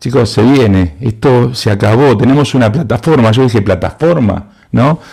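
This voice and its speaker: A man speaks at a medium pitch with a dark, mellow tone. His pace is moderate, with ordinary pitch variation. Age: 60s. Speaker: university lecturer in advertising and creativity. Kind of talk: conference talk.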